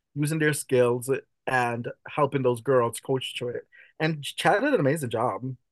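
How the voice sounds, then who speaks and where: A man speaks at a fairly high pitch and a moderate pace. The sound is dry and close with no echo, over a quiet background. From Jamaica. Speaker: drag performer. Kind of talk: casual chat. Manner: animated.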